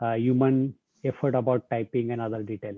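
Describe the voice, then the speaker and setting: This man's intonation is fairly even. He talks at a moderate speed with a medium pitch. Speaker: guest lecturer on deep learning. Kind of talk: online lecture Q&A. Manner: hesitant, many fillers.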